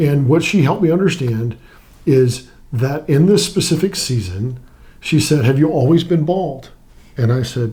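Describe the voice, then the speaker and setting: Somewhat breathy, a man speaks with a dark, mellow tone and lively intonation. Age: 60s. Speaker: weight-loss client, retired Navy pilot and FBI agent. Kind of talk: interview testimony. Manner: halting, with repeated words.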